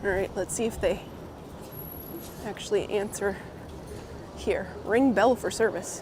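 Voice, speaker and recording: A woman talks at a medium pitch, leaving long, frequent pauses. Noticeable background noise runs underneath. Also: fairly even intonation, fairly slow pace. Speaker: live streamer. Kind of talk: live stream chat while walking. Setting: outdoors.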